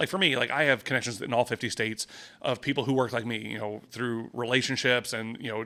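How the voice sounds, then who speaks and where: A loud man's voice, bright and sharp in tone, at a very fast pace with fairly even intonation. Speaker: real estate agent and podcast host. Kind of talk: casual podcast monologue. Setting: office. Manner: casual, filler-heavy.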